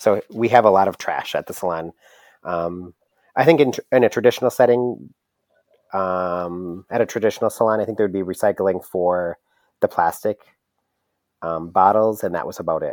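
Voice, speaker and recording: In a very clean recording with a silent background and a dry, close sound with no echo, a man with an American accent speaks at a moderate pace and a fairly low pitch, with ordinary pitch variation and long, frequent pauses. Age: 30s. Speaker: hair salon owner. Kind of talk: casual interview.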